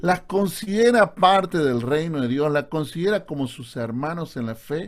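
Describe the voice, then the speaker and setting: At a fairly slow pace, a man with a fairly high pitch speaks with lively intonation. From Argentina, Córdoba. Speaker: pastor. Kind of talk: online Bible class lecture. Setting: Zoom video call. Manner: sounds serious, stern.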